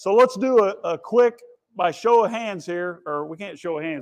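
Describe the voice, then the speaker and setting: A loud, high-pitched man's voice. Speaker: conference speaker. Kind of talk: keynote talk. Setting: stage with audience. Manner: animated.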